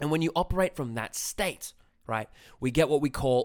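An Australian accent from a man at medium pitch, animated and intense in tone, with lively intonation, on a very clean recording with a silent background. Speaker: dating coach podcaster. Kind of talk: angry rant, swearing, emphatic lecture-style coaching. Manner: animated, intense, emphatic.

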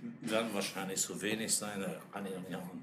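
A man speaks with a fairly low pitch. Room echo is audible around him. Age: old. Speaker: esoteric order leader. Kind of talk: casual chat.

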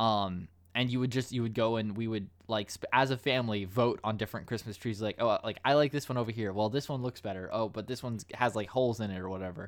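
A man with an American accent talks at a very fast pace, his pitch medium and his intonation fairly even. The recording is very clean, with a silent background. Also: hardly any pauses. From United States. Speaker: podcast host. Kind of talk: casual chat.

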